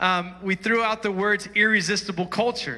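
A man's high-pitched, raised and projected voice, animated and bright with a sharp tone. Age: 40s. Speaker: pastor. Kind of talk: sermon. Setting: church.

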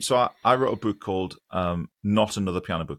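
On a very clean recording with a silent background and a dry, close sound without echo, a man talks in a fairly low pitch. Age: 40s. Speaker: online piano teacher and choir leader. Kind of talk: casual interview chat.

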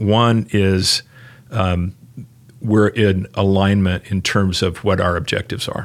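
Very deep and low in pitch, a man talks at a fairly slow pace in a monotone, flat intonation. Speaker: marketing executive. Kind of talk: casual chat. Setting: office.

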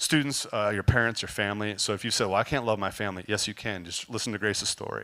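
Speaking at a very fast pace, a man with a fairly low pitch and a bright, sharp tone keeps his intonation fairly even on a very clean recording with a silent background. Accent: American. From California. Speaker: youth ministry volunteer. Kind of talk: testimony.

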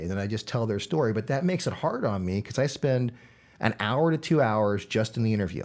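A plain, everyday voice from a man, medium in pitch with lively intonation, on a very clean recording with a silent background. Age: 40s. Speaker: local video storyteller. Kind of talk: casual chat.

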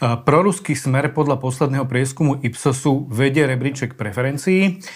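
Somewhat breathy and medium in pitch, a man's voice moves at a moderate pace with fairly even intonation. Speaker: newspaper reporter, podcast host. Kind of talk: interview.

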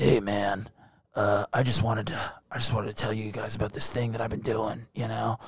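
Putting on a raspy character voice, a man talks at a medium pitch and a moderate pace with fairly even intonation. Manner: creepy, ingratiating.

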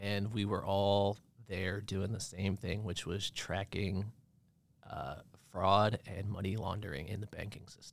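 Delivery is fairly slow, with long, frequent pauses and fairly even intonation. Loudness swings widely. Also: man. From Maine, US (Bar Harbor). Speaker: marketing professional. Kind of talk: casual chat. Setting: studio.

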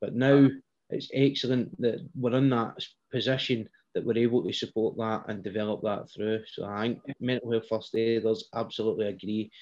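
A normal speaking voice at a moderate pace. The intonation is fairly even. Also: man, medium pitch for a man. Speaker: podcast host. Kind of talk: casual interview chat.

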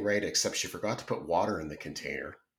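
Fairly low in pitch, a man speaks with a Canadian accent. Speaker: podcast host. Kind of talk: casual chat.

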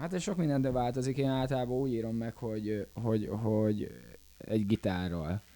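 At a moderate pace, a man speaks with a dark, mellow tone. His pitch is medium. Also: ordinary pitch variation. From Hungary, Békéscsaba. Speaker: pop band musician. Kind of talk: casual interview. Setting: festival.

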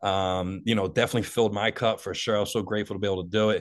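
A man with a Philadelphia accent at a fairly low pitch, very fast pace and fairly even intonation, over a quiet background. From Delaware County, Philadelphia area, US. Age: 40s. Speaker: motivational speaker in addiction recovery. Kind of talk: personal testimony in interview.

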